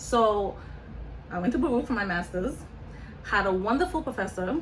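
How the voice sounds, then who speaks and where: A woman talks at a fairly quick pace in a fairly high pitch. Noticeable background noise runs under her voice. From Senegal, West Africa. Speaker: nonprofit founder, college counselor. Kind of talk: interview. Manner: conversational.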